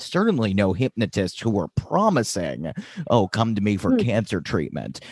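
A man speaks at a moderate pace with vocal fry and very even loudness, in a dry, close sound with no echo. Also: fairly low pitch for a man. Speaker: podcast host. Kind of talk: podcast intro monologue; interview.

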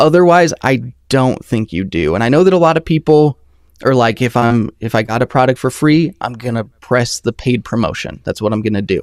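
In a normal speaking voice, a man talks fairly quickly at a medium pitch with lively intonation, in a dry, close sound with no echo on a very clean recording with a silent background. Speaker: audio reviewer, YouTuber. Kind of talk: casual chat. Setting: live stream. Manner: casual, laid-back.

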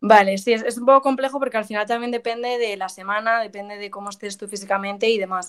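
A woman talks at a very fast pace with hardly any pauses, a fairly high pitch and fairly even intonation. Her loudness swings widely. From Madrid, Spain. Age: 20s. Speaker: professional golfer. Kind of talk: interview.

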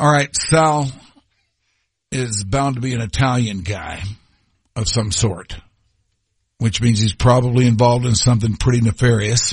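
At a moderate pace, a man with a medium, somewhat breathy voice and ordinary pitch variation speaks with long, frequent pauses. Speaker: radio host. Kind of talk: radio dj patter. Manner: warm, easygoing, chatty, upbeat.

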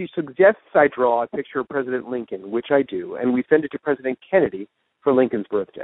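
A man at a fast pace with lively intonation, dry and close with no echo. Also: medium pitch for a man.

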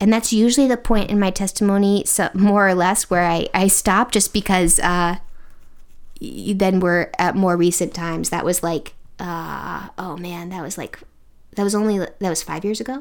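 A woman with an American accent speaks at a moderate pace and medium pitch, with fairly even intonation and an ordinary speaking voice. The recording is very clean, with a silent background. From Connecticut, US. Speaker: speech language pathologist. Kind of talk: testimony.

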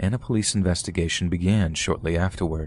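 With a very deep, low pitch and a dark, mellow tone, a man delivers his lines in a dramatic tone at a fairly quick pace, using ordinary pitch variation. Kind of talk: true-crime narration. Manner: measured, dramatic storytelling tone, somber and suspenseful.

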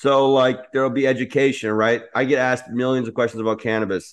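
Against a quiet background, a man races along at a very fast pace in a flat monotone. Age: 30s. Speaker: cannabis entrepreneur. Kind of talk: interview.

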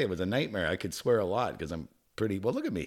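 A man speaks at a very fast pace on a very clean recording with a silent background.

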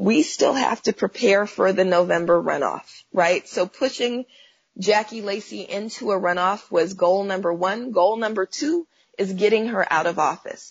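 A somewhat breathy woman with an American accent, medium pitch, ordinary pitch variation and a moderate pace. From Oakland, California. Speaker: activist and professor. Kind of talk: interview.

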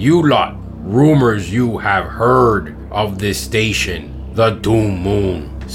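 A put-on character voice from a man, fairly low in pitch and very slow, with clear background noise. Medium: audio drama. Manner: formal, commanding.

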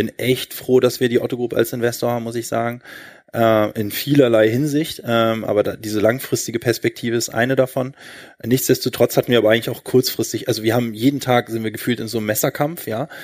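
Recorded very cleanly against a silent background, a man with a medium pitch talks at a fairly quick pace with monotone, flat intonation. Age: 30s. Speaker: e-commerce entrepreneur. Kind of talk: live stage interview. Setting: stage with audience.

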